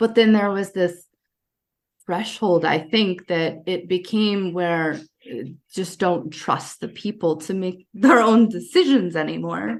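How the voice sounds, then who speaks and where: Speaking at a fairly slow pace, a woman has an ordinary speaking voice with an American accent. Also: medium pitch for a woman, ordinary pitch variation. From United States. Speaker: Army veteran and coach, former refugee. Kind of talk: podcast conversation.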